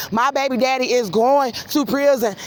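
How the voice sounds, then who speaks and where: Loud and high-pitched, a woman speaks. Noticeable background noise is present. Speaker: vlogger. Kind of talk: walking vlog monologue. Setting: outdoors at night walking on street.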